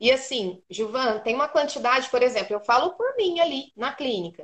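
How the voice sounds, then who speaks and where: The woman's high voice rises and falls in very wide pitch swings. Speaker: neuropsychopedagogue. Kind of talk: live stream interview. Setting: online live stream.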